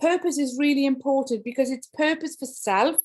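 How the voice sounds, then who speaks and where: With a Welsh accent, a woman speaks at a high pitch. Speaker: education speaker. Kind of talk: keynote talk. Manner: animated.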